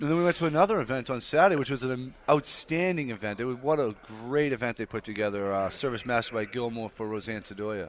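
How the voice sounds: Speaking fast with few pauses, a man keeps a medium pitch and ordinary pitch variation.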